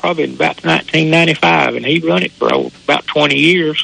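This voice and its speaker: Over noticeable background noise, a man with a Southern US accent speaks at a moderate pace. His medium pitch makes very wide swings. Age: 70s. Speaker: local racetrack driver.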